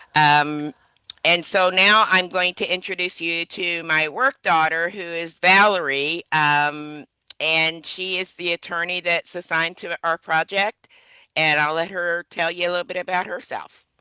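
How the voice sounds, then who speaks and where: Fairly low in pitch with a bright, sharp tone, a woman speaks at a fairly slow pace with fairly even intonation, in a dry, close sound with no echo. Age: 60s. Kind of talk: webinar presentation.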